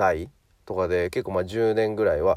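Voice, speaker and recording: The recording is very clean with a silent background, and the voice has a relaxed tone. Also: man. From Japan, Hyogo. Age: 30s. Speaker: personal trainer. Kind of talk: podcast monologue. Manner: relaxed, many fillers.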